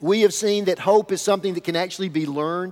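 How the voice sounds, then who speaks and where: A man with a Southern US accent speaks in an animated tone at a high pitch. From US South (rural). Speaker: pastor. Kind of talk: sermon.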